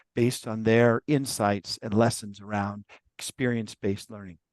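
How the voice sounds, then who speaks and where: In a dry, close sound with no echo and a quiet background, a man speaks at a fairly slow pace. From US West Coast. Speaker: professor. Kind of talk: webinar introduction. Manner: casual, hesitant with fillers.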